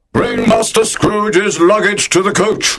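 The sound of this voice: A man is shouting at a high pitch. His pace is moderate.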